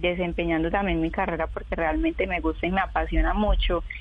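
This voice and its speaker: A woman's voice with audible room echo. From Colombia, Urabá region of Antioquia. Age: 20s. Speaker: tram driver and model. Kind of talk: interview.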